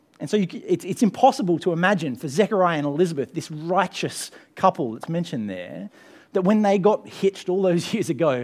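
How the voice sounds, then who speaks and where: With an Australian accent, a man talks at a moderate pace in a high pitch with lively intonation. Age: 30s. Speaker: pastor. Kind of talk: sermon. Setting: church.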